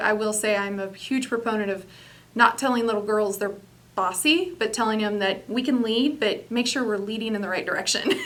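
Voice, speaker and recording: Audible room echo around a woman's fairly high-pitched voice. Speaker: business executive. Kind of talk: interview. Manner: loud.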